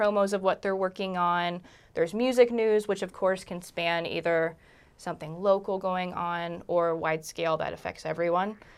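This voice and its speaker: A woman's plain, everyday voice with an American accent, medium pitch, fairly even intonation and a moderate pace, in a very clean recording with a silent background. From Virginia, Charlottesville. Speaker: music photographer and community founder. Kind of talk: casual interview.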